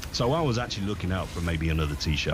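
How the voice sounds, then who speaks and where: Over background music and audible room echo, a man talks at a very fast pace. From East Midlands, England (Leicester). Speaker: broadcaster. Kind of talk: casual chat.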